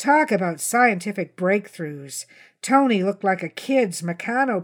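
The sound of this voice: An unforced reading voice delivers its lines with lively intonation.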